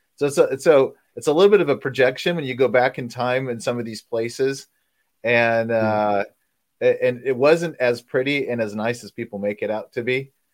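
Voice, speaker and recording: Heard in a very clean recording with a silent background, the speaker uses an ordinary speaking voice with an American accent, moving at a moderate pace with ordinary pitch variation and big swings in loudness. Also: man, medium pitch for a man. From France (Paris area and villages), American parents. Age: 50s. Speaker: homeschooling parent. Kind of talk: interview.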